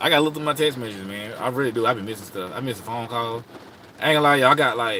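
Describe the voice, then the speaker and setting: Talking at a very fast pace, a man with an American accent has medium pitch and ordinary pitch variation. His loudness swings widely, and noticeable background noise is present. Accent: Southern US accent, per others. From South Carolina, rural US South. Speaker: astrology advice livestreamer. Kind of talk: casual livestream chat. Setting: live stream from home. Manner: relaxed, conversational with fillers.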